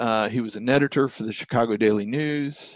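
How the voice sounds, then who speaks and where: Here a man speaks at a medium pitch. His pitch varies in an ordinary way. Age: 60s. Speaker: business financial coach. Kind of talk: interview. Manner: hesitant fillers.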